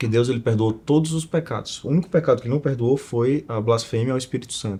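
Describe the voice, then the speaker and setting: Speaking at a very fast pace, a man of medium pitch has a dark, mellow tone that is somewhat breathy, with ordinary pitch variation. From Northeast Brazil, Alagoas (Maceió). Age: 20s. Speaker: entrepreneur and investor. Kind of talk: casual interview chat.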